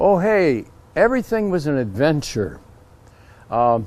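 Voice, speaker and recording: Speaking in an American accent, a man holds a fairly high pitch. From Northern California. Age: 80s+. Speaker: Navy veteran. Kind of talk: interview answer. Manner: lively.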